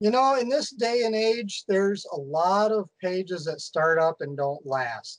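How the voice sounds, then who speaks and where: With hardly any pauses, a man in an American accent talks at a high pitch with lively intonation. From US Midwest. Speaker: coyote hunter. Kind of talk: casual chat.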